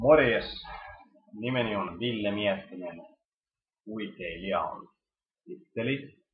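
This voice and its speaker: A man at a very slow pace with long, frequent pauses, ordinary pitch variation and audible room echo. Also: medium pitch for a man. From Finland, Helsinki. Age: 20s. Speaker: university student. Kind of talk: self-introduction video.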